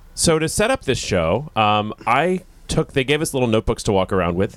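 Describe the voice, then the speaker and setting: A man's normal speaking voice, lively intonation, moderate pace, and a dry, close sound with no echo. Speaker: radio host. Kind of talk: casual chat, live event banter. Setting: festival event, live.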